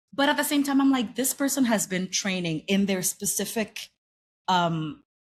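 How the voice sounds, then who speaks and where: In a very clean recording with a silent background, a woman with a non-native accent speaks at a fairly slow pace, somewhat breathy, with lively intonation. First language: not English. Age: 30s. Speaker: actress and singer. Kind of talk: casual chat.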